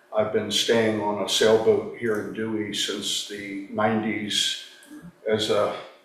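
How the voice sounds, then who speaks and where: Amid noticeable background noise and audible room echo, a man speaks at a medium pitch and a fairly slow pace. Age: 70s. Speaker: retired attorney, committee member. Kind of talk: self-introduction at a town committee meeting.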